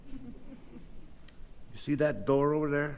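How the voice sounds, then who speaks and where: A man's fairly high-pitched voice comes through with audible room echo. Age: 70s. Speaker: public commenter. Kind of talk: public comment.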